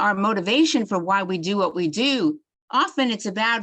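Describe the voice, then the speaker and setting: Against a quiet background, a woman with a New York accent speaks at a moderate pace with ordinary pitch variation. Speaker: psychiatry doctor giving a continuing education talk. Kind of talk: lecture.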